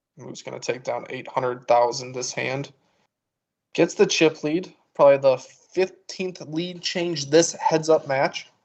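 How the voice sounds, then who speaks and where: Speaking at a fairly slow pace, a man uses a normal speaking voice at a fairly high pitch, with ordinary pitch variation and big swings in loudness. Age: 20s. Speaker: poker commentator. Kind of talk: live commentary.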